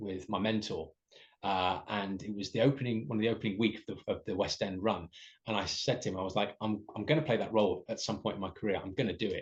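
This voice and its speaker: A man with an English accent, a fairly low pitch and a somewhat breathy voice at a fairly quick pace, over a quiet background. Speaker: musical theatre performer. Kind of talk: interview. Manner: hesitant with fillers.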